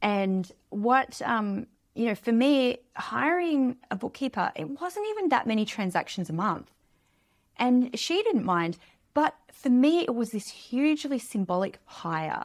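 A woman with an Australian accent speaks in a high voice at a fairly slow pace, with very wide pitch swings. The recording is very clean, with a silent background. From Australia, small beach town. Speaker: money mentor and author. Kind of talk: casual interview.

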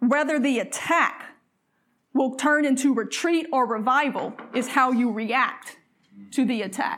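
A woman with a Southern US accent speaks at a fairly slow pace and a high pitch. Her tone is animated and her loudness very even. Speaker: preacher. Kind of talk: sermon.

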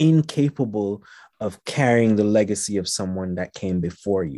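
The voice has a dark, mellow tone and ordinary pitch variation, recorded with a dry, close sound with no echo against a quiet background. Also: man. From Jamaica and Haiti. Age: 40s. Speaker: poet and radio host. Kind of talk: casual interview chat.

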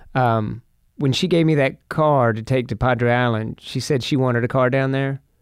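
The man has a plain, everyday voice, talking at a moderate pace and medium pitch with fairly even intonation in a very clean recording with a silent background. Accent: American. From Texas, Fort Worth. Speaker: TV sports broadcaster. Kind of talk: casual chat.

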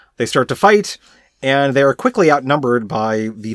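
A dry, close male voice without any echo. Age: adult. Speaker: podcast co-host. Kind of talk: casual chat. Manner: loud; halting.

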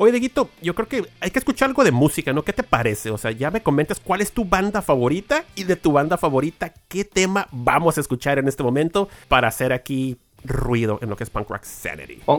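Talking at a fairly quick pace with hardly any pauses, a man with a fairly high pitch makes very wide pitch swings in a dry, close sound with no echo. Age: 40s. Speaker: podcast host. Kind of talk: casual interview.

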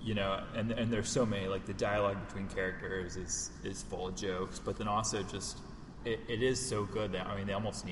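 The speaker is reading aloud in a natural voice, keeping intonation fairly even.

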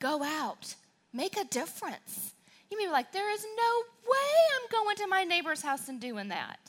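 This woman's voice sits at an extremely high pitch and swings very widely. Her tone is animated. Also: moderate pace. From southern Wisconsin. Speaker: church speaker. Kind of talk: sermon.

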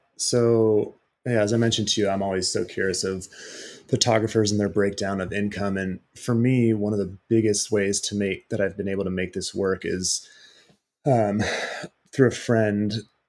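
On a very clean recording with a silent background, a man with an American accent speaks at a moderate pace and fairly low pitch in a monotone, flat intonation. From Southern California (Irvine, Orange County). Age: 30s. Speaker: outdoor photographer. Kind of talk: interview.

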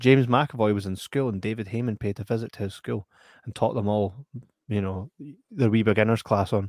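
With a West Lothian accent and fairly low pitch, a man speaks at a fairly quick pace with fairly even intonation, his dry, close sound carrying no echo on a very clean recording with a silent background. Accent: Scottish (West Lothian). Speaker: film podcast host. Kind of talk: casual chat.

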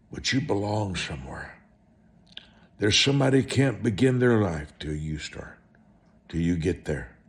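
A man's fairly low voice with vocal fry, very wide pitch swings, a moderate pace and long, frequent pauses. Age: 70s. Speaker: televangelist preacher. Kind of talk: sermon.

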